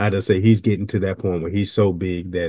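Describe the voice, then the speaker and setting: A man's very deep, low voice with a dark, mellow tone and a Southern US accent, fairly quick and fairly even in intonation, over a quiet background. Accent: Southern, country. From US South. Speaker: video reaction commentator, retired law enforcement. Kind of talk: video reaction commentary. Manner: slurs sometimes; calm, never raises voice.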